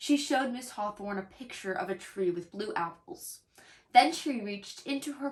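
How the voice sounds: This clip features a natural reading voice.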